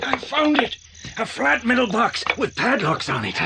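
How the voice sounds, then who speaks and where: Over clear background noise, a man in a put-on character voice with an extremely high pitch speaks at a moderate pace. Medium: audio drama.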